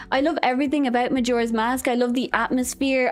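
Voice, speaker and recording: With an Irish accent, a woman speaks in a high pitch and an animated tone. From Ireland. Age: 20s. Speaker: vtuber streamer. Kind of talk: casual chat. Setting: live stream.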